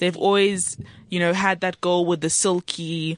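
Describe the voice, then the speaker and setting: A woman's unremarkable speaking voice, fairly low-pitched at a moderate pace, with a dry, close sound and no echo. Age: 20s. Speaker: student radio show host. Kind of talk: casual chat. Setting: studio.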